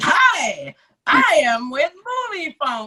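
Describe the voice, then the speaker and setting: This is a put-on character voice pitched high. The pitch swings very widely. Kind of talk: announcer voiceover. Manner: weird, exaggerated.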